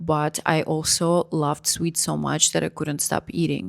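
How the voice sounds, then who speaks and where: A woman in a Russian accent, at a fairly slow pace. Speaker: vlogger. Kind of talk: personal story vlog.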